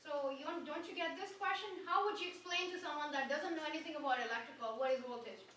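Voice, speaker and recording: An extremely high woman's voice with a non-native accent, bright, sharp tone and lively intonation, very fast with hardly any pauses, in audible room echo. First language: not English. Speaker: trade school instructor. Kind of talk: classroom lecture. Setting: classroom. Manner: interactive, questioning.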